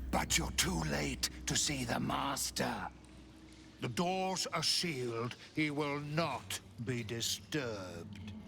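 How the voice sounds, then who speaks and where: Putting on a character voice, a man talks at a very slow pace and medium pitch, with clear background noise. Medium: video game. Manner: gloating, speaks of herself in third person.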